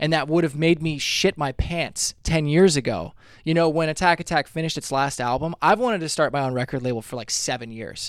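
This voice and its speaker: A man's fairly quick, fairly high-pitched delivery in a plain, everyday voice, with ordinary pitch variation and hardly any pauses. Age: 30s. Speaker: musician. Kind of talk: casual chat.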